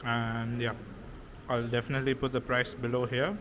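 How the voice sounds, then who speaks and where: At a moderate pace, a man with a medium pitch talks with fairly even intonation. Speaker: food and travel vlogger. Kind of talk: food vlog. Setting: restaurant.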